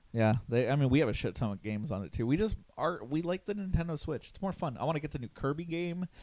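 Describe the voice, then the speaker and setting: Talking at a very fast pace with hardly any pauses, a man with a fairly high pitch moves through very wide pitch swings. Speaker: podcast host. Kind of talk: casual chat.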